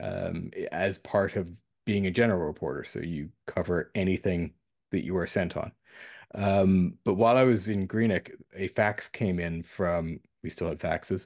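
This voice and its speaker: A man with a very deep, low pitch at a moderate pace, ordinary pitch variation and a quiet background. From Canada, New Brunswick. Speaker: journalist. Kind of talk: interview.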